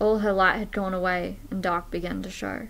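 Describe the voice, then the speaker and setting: This woman keeps her intonation fairly even. Her pace is moderate. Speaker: poetry vlogger. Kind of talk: poem performed, reading aloud a rhymed poem. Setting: home video recording, filming alone. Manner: casual and chatty in the intro, then earnest and measured in the poem; playful, laughing. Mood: sombre, sad. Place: home room. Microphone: webcam.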